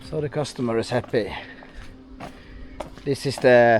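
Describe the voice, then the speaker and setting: Music plays in the background as a man talks in a Norwegian accent. His pitch varies in an ordinary way. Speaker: truck owner and vlogger. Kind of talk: casual vlog narration. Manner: halting.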